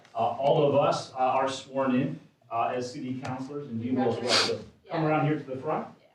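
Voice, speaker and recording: At a fairly quick pace, a man speaks in a monotone, flat way at a medium pitch, with audible room echo. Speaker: city council member. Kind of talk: public meeting remarks.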